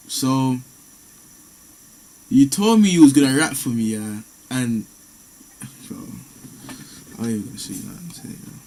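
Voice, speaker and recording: A man with a London accent talks at a moderate pace in a medium pitch, with lively intonation and big swings in loudness. He leaves long, frequent pauses. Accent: London Multicultural English. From UK. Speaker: streamer chatting with strangers online. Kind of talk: casual chat.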